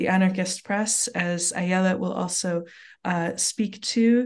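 Speaking at a fairly slow pace over a quiet background, a woman uses a plain, everyday voice at medium pitch with ordinary pitch variation. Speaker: literature professor. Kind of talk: podcast interview.

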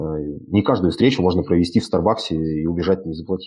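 A man's voice, pitched very deep and low, comes through at a moderate pace. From Siberia, Russia (Krasnoyarsk). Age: 30s. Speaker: entrepreneur and networking speaker. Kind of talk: online lecture. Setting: live stream broadcast. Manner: casual, with many fillers.

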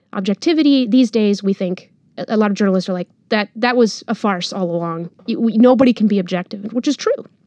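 Dry and close with no echo, a woman's voice comes at a very fast pace. It has a dark, mellow tone, fairly high pitch, and ordinary pitch variation. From Monterrey, Mexico. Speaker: journalist, newsletter founder. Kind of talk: interview, casual conversation.

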